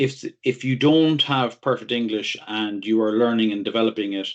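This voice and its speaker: A man speaks with a strong Irish accent. The background stays quiet. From Ireland. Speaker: technology consultant. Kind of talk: interview. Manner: halting, many repeated words.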